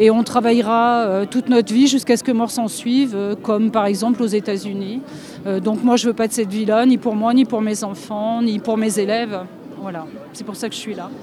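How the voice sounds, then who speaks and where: Against noticeable background noise, a woman speaks at a fairly high pitch and a moderate pace with fairly even intonation. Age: 60s. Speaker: street protester. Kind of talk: street interview.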